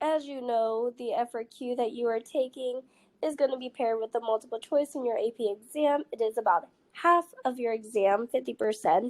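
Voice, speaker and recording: A woman's high voice with an American accent, a moderate pace, ordinary pitch variation, a very clean recording with a silent background, and a dry, close sound with no echo. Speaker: high school physics teacher. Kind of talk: recorded lesson for students.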